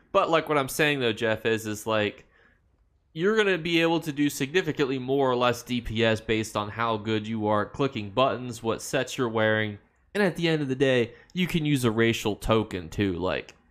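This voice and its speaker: In a very clean recording with a silent background, a man with an American accent speaks at a moderate pace and medium pitch. His is a plain, everyday voice with lively intonation. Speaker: video game streamer. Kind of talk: live stream chat reading viewer comments. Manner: casual, conversational.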